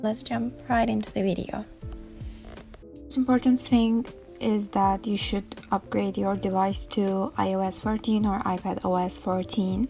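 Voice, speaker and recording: Over music in the background, a woman with a non-native accent talks at a fairly slow pace. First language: not English. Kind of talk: casual tech tutorial talk. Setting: home recording, imperfect audio.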